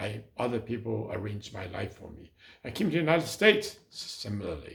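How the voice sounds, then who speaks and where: Somewhat breathy speech at a moderate pace, with ordinary pitch variation. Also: man. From China and Hong Kong. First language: Chinese. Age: 80s+. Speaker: city councilmember, former mayor. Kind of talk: talk. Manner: halting.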